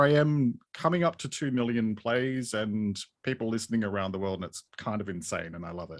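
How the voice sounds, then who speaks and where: A man with an Australian accent speaks at a moderate pace and medium pitch, his intonation lively, on a very clean recording with a silent background. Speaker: podcaster and mental health writer. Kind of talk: interview.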